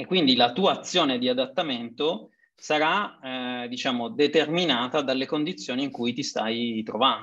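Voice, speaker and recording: Over a quiet background comes an ordinary speaking voice with ordinary pitch variation. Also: man. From Sicily (Messina area). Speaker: consultant, webinar host. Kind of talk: webinar moderation. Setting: video call.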